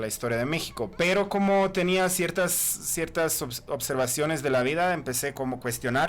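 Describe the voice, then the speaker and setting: Speaking in a Croatian accent at a moderate pace, the man has a high pitch and lively intonation. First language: Croatian (speaking Spanish). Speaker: author and historian. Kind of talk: podcast interview. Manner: halting.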